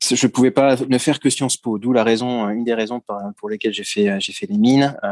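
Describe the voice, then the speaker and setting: This man's voice sits at a medium pitch with ordinary variation. He talks at a moderate pace, and the sound is dry and close with no echo. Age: 40s. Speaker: retail executive. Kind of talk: interview. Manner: hesitant, with many filler words.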